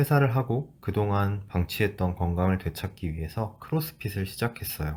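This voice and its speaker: On a very clean recording with a silent background, a man with a fairly low pitch and a dark, mellow, somewhat breathy tone talks at a moderate pace with lively intonation. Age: 30s. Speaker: former corporate employee. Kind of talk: personal vlog narration.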